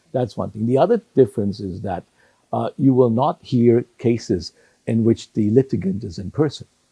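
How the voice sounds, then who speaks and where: A man with a medium-pitched, dark and mellow, somewhat breathy voice talks at a moderate pace with ordinary pitch variation and big swings in loudness, recorded dry and close with no echo. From Hong Kong. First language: Cantonese. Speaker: retired judge. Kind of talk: interview. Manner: halting, repeats words.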